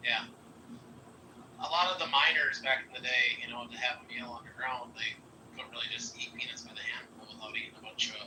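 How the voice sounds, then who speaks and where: A man with an American accent is heard through noticeable background noise and audible room echo. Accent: Wisconsin, comes out at times. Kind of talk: casual chat.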